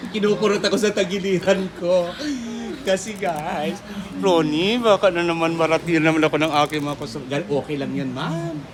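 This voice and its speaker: A high-pitched man speaks at a moderate pace, his pitch varying in an ordinary way, with noticeable background noise behind him. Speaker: vlogger. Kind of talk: street pitchman-style sales pitch, shop walkthrough vlog. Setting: inside a shop, on location. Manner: animated, excitable, hyping items with exclamations.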